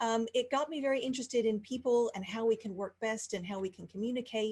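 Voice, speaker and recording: The voice has a dark, mellow tone and sounds somewhat breathy. Its pitch variation is ordinary. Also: woman. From Texas, Houston. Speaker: life coach. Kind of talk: interview. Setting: video call.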